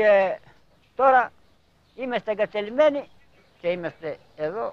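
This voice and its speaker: A man speaks with a Cretan accent. His pitch is high. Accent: Cretan Greek. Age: 70s. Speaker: elderly villager. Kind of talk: documentary interview.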